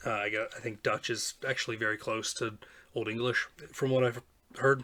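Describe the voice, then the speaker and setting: A man with an American accent, a bright, sharp tone, monotone, flat intonation and a moderate pace. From United States. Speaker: poetry reading vlogger. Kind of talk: casual explanation and reading aloud. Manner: hesitant, many fillers.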